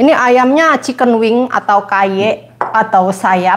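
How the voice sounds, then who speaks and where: A woman at a very slow pace. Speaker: home cook streamer. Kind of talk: casual cooking livestream chat. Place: kitchen. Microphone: lapel.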